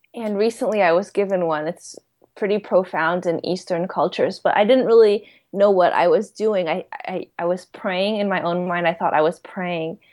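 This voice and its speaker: Using a plain, everyday voice, a woman speaks at a moderate pace in a medium pitch with fairly even intonation. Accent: American. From US, New York City. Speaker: psychic medium and YouTuber. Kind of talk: casual interview.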